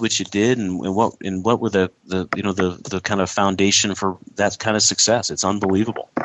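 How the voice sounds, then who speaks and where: A man in a normal speaking voice, fairly low in pitch, talks at a fairly quick pace with fairly even intonation. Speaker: radio host. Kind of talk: casual banter between co-hosts and interview.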